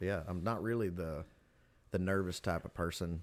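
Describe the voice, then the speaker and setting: On a very clean recording with a silent background, a man with a very deep, low pitch speaks in a Southern US accent. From Tennessee, Pickwick. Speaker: fiddle player, musician. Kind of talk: casual chat. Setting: studio.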